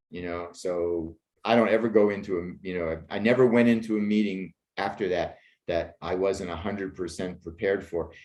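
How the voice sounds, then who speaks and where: A man with an American accent talks in a very deep, low pitch and fairly even intonation. His pace is moderate, and the background is quiet. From Pittsburgh, Pennsylvania. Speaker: screenwriter and actor. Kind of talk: interview conversation.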